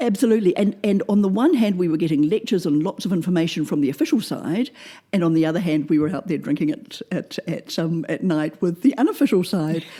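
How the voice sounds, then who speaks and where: Speaking at a very fast pace, a woman has a New Zealand accent and lively intonation. Her medium-pitched voice has a dark, mellow tone. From New Zealand, Oamaru (South Island small town). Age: 60s. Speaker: former German teacher. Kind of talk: interview. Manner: hesitant, many fillers and repetitions.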